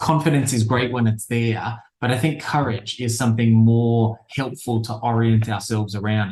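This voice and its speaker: Speaking with an Australian accent and hardly any pauses, a man sounds somewhat breathy, his intonation fairly even. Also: medium pitch for a man, moderate pace. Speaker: behavior change expert, speaker. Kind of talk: interview.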